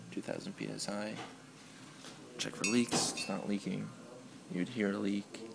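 Whispering at a moderate pace, a man leaves long, frequent pauses. Loud noise fills the background. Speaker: EMT student. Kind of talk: skill demonstration walkthrough. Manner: whispered. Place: classroom. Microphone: phone near.

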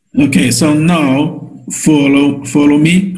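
A man's voice, somewhat breathy, comes through against a quiet background. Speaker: teacher of a healing method. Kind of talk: online lecture and guided exercise. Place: home room. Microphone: webcam.

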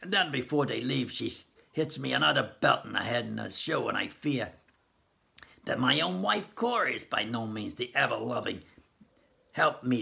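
A man's raspy, put-on character voice at a moderate pace, with long, frequent pauses. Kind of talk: story reading aloud. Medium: read story. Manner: stern, severe. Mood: grim suspicious.

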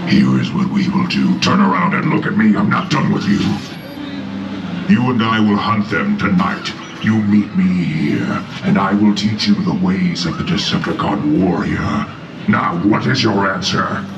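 Over loud background noise, a man puts on a character voice at a moderate pace, with a slight echo. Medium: stage. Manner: commanding, mocking, playfully insulting.

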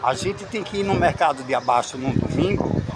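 A man at a moderate pace, over noticeable background noise. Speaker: travel vlogger. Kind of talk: casual vlog chat. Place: market. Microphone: phone near.

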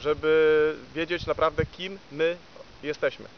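A man speaks at a high pitch. The sound is dry with no echo, and there is light background noise. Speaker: spiritual teacher. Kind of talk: spiritual talk, reading with comments. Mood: calm, measured, hesitant fillers. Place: forest.

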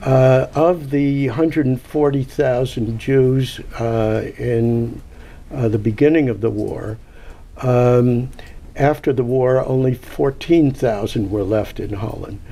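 Very slow in pace, a man speaks in a dark, mellow tone with fairly even intonation. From Netherlands. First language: Dutch. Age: 80s. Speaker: Holocaust survivor and author; guest. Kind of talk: public talk. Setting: stage with audience. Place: hall. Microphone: handheld.

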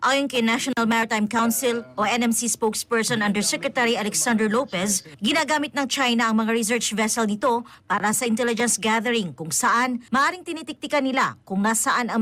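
A woman at a fairly quick pace with hardly any pauses, a fairly high pitch, ordinary pitch variation and very even loudness. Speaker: news reporter. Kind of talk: news report.

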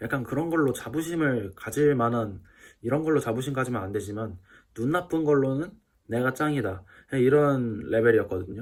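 The man has an unremarkable speaking voice, medium in pitch with ordinary pitch variation. He speaks at a moderate pace on a very clean recording with a silent background. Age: 20s. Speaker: YouTuber. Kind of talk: casual vlog monologue. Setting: at home in self-quarantine. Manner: casual, chatty.

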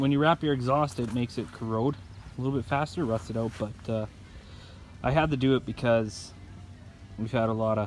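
Moderately paced speech, dry with no echo, over light background noise. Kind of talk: casual vlog walkaround commentary. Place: garden. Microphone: phone near.

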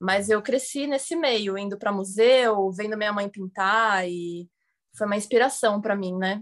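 A woman with a plain, everyday voice speaks at medium pitch and a fairly slow pace, with ordinary pitch variation and a quiet background. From Santos, São Paulo coast, Brazil; São Paulo, Brazil. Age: 20s. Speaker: actress and filmmaker, art dealer; actress. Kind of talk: interview. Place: home room. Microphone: video call.

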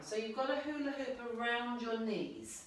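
Through strong room echo, a woman with a high pitch speaks at a very slow pace. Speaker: exercise instructor. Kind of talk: exercise class instruction. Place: home room. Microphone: camera far.

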